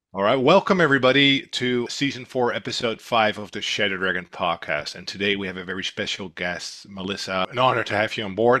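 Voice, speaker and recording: A man with a Dutch accent speaks at a fairly quick pace. His tone is bright and sharp, with ordinary pitch variation. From Netherlands. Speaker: intelligence company director, podcast host. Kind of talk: podcast interview.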